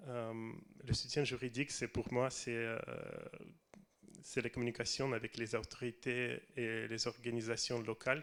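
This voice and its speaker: In a Russian accent, a man speaks with monotone, flat intonation and long, frequent pauses. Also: medium pitch for a man, fairly slow pace. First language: Russian (speaking French). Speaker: film director. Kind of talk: reading prepared text. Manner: halting.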